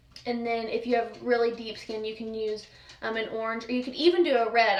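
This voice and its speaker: A high-pitched woman's voice at a fairly quick pace, with audible room echo. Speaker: makeup vlogger. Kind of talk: tutorial. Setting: at home. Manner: fast.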